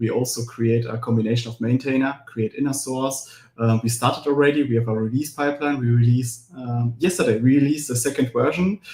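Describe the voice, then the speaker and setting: Speaking with a German accent, a man has a dark, mellow tone that is somewhat breathy. He talks fairly quickly with hardly any pauses and fairly even intonation. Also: medium pitch for a man. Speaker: cloud platform engineer and author. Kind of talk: live webinar Q&A. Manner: fast.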